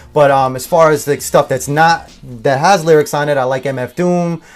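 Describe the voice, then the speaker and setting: A man's fairly high voice at a moderate pace, with fairly even intonation, in a very clean recording with a silent background. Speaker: rapper and couple vlogger. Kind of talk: casual interview chat. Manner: loud, projecting voice.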